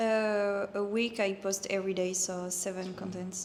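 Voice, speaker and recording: At a fairly slow pace, a woman with a medium pitch talks in a monotone, flat intonation. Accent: French. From France. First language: French. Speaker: physiotherapist and online fitness coach. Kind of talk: casual interview. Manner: halting.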